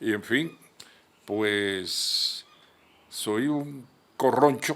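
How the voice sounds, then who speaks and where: A man talks at a very slow pace. His pitch sits in the medium range with ordinary variation. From Colombia, Caribbean coast (Magdalena, raised in Cartagena). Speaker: journalist and lawyer. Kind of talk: TV interview. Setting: his office.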